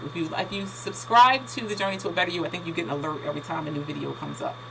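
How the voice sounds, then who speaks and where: Over noticeable background noise and audible room echo, a woman with a fairly low voice talks at a very fast pace. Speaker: lifestyle vlogger. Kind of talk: casual tutorial. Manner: halting, many fillers.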